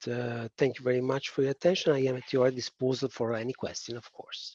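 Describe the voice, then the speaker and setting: A man with a strong Italian accent and fairly even intonation, in a dry, close sound with no echo. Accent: thick Italian. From Italy. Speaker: policy expert presenter. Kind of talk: webinar presentation. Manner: hesitant, many fillers.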